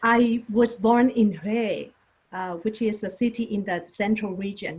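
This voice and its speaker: With a Vietnamese accent, a woman speaks in a somewhat breathy voice at a fairly high pitch, with ordinary pitch variation. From Vietnam, Saigon. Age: 50s. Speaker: non-profit leader. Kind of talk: interview testimony. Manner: halting with fillers.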